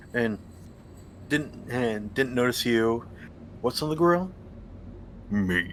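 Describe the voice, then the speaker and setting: A soft-spoken man with a medium pitch talks at a very slow pace, his intonation lively and his speech broken by long, frequent pauses. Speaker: streamer. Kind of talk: casual chat.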